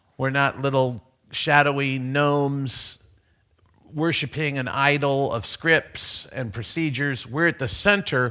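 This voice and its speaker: A loud man's voice, fairly high with a bright, sharp tone and ordinary pitch variation, at a fairly slow pace on a very clean recording with a silent background. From USA. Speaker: conference speaker. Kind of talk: conference talk. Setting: stage with audience. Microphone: too loud on new microphone.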